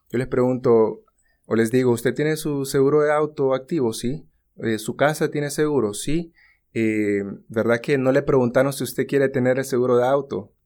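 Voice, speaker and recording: A man with an unremarkable speaking voice talks at a moderate pace and medium pitch with ordinary pitch variation, on a very clean recording with a silent background. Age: 30s. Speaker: insurance agent. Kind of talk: casual chat.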